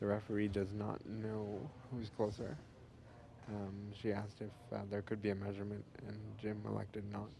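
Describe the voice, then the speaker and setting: The tone is dark and mellow, somewhat breathy, with monotone, flat intonation and audible room echo. Delivery runs at a moderate pace with long, frequent pauses. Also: man, fairly low pitch for a man. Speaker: sports commentator. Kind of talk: live commentary. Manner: quiet.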